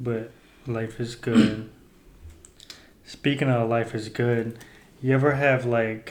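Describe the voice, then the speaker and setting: A soft-spoken voice, very slow and monotone in flat intonation, with audible room echo. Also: man. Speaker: podcast co-host. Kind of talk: casual chat.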